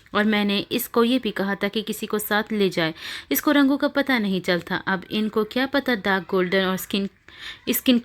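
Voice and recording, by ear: The speaker is reading aloud in a natural voice. The pitch shows ordinary variation.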